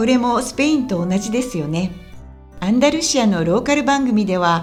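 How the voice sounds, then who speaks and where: Over music in the background, a woman talks at a fairly high pitch. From Kansai, Japan. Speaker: Japanese teacher, former TV and radio presenter. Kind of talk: language-learning podcast talk.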